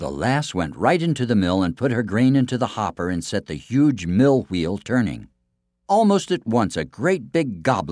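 Someone is reading aloud plainly. There is little noise behind the voice.

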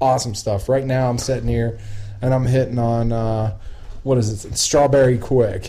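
A man with a strong Appalachian accent speaks at a moderate pace, his medium-pitched voice somewhat breathy with a dark, mellow tone. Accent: Appalachian Southern, strong. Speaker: podcast host. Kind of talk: casual chat. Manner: casual, profane, talkative.

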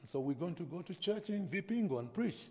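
Vocal fry runs through the man's dark, mellow tone. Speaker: pastor. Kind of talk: sermon. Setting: church. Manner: slow.

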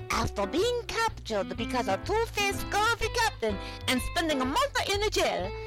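The speaker uses a put-on character voice. Loud music plays in the background. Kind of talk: bedtime story. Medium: audio drama. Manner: warm, gentle.

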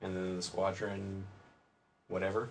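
Moderate-paced speech from a man with a fairly low pitch. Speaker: podcast host, submarine veteran. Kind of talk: casual chat.

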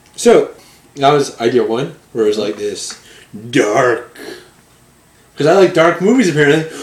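Against noticeable background noise, a man with a fairly high pitch speaks at a moderate pace, with very wide pitch swings and long, frequent pauses. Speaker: podcast co-host. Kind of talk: casual chat.

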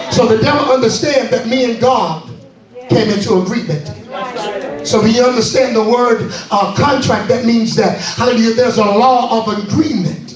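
Over noticeable background noise, a man with an extremely high pitch speaks at a moderate pace in an animated tone with ordinary pitch variation. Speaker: preacher. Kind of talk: sermon to a live congregation, call-and-response. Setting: church. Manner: animated, fervent, rhythmic exhortation that urges the crowd to respond; repeats phrases for emphasis, with laughter and shouted commands.

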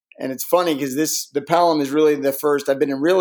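A man with an ordinary speaking voice talks at a fairly high pitch with fairly even intonation. The recording is very clean, with a silent background. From Connecticut, US. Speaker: real estate investor. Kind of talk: interview.

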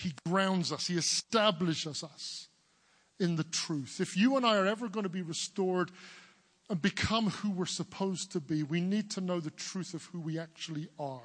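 Here is a man with an English accent, speaking at a high pitch. His pace is moderate and his pitch varies in an ordinary way. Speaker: preacher. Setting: church service. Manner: emphatic, rhythmic sermon delivery.

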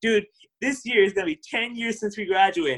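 Very wide pitch swings at a fairly quick pace, in an American accent. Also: man. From Southern California, Orange County. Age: 30s. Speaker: podcast co-host, accountant. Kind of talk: casual chat.

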